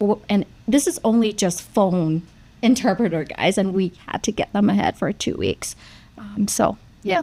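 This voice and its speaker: Someone with a Vietnamese accent speaks at a moderate pace in a dark, mellow tone with ordinary pitch variation. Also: woman, medium pitch for a woman. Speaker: nurse practitioner. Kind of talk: panel discussion.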